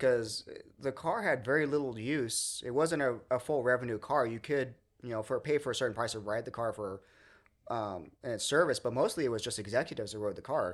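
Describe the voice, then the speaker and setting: With an American accent and a normal speaking voice, a man talks at a fairly quick pace at a medium pitch with ordinary pitch variation, in a very clean recording with a silent background. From Southern California (Redlands). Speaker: museum volunteer, streetcar restorer. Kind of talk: casual interview.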